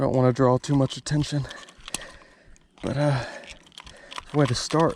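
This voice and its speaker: A man talks quietly at a fairly quick pace, medium in pitch and flat, monotone in intonation. The sound is dry and close with no echo, though background noise is noticeable. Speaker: fishing video creator. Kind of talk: casual on-the-water vlog commentary. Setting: outdoors on a boat on a lake. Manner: quiet, low-key speaking.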